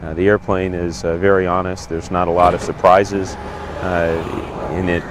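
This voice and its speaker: Noticeable background noise accompanies a man speaking at a moderate pace. His very deep, low voice stays monotone and flat. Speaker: B-25 pilot. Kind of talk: interview answer.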